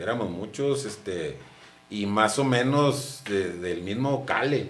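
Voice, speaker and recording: With audible room echo, a man in a northern Mexican accent speaks with lively intonation. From northern Mexico, Chihuahua (mining town near Camargo). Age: 50s. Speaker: former footballer and sportscaster. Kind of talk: interview.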